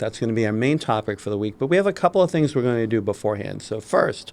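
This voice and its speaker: At a very fast pace, a man with a Massachusetts accent speaks at medium pitch with lively intonation. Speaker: podcast co-host. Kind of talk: casual podcast chat.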